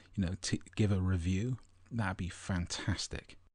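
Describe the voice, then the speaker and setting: Against a quiet background, a man whispers at a fairly slow pace, sounding somewhat breathy. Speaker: spiritual podcast host. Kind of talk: podcast monologue. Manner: whispering.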